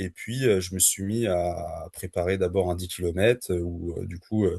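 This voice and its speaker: A man's very deep, low voice, dark and mellow in tone and somewhat breathy, at a moderate pace, dry and close with no echo, against a quiet background. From France (Le Mans). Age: 30s. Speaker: trail runner. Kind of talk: podcast interview. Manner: hesitant, many fillers.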